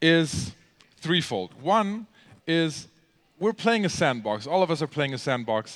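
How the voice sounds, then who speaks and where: Over a silent background in a very clean recording, a man with a German accent speaks at a fairly slow pace, his fairly high pitch swinging very widely. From Germany. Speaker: gamer and convention speaker. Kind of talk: convention talk. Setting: stage with audience. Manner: halting, many fillers.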